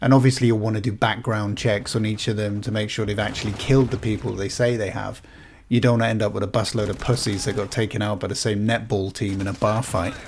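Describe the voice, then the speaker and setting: Somewhat breathy, a man talks at a very fast pace and a fairly low pitch. The intonation is monotone and flat. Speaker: gaming YouTuber. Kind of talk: comedic game commentary.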